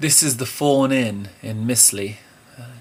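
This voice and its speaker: A man talks with a southern English accent, sounding somewhat breathy. His intonation stays fairly even. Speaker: musician. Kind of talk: video diary; scripted narration. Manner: quiet.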